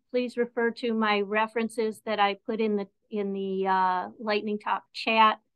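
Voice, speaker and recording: This woman talks with fairly even intonation against a quiet background. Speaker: presenter. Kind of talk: lecture. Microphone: video call.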